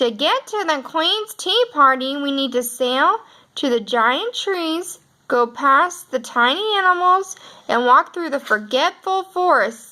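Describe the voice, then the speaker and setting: Using a put-on character voice, a woman talks at a fairly slow pace in a high pitch. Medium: read story.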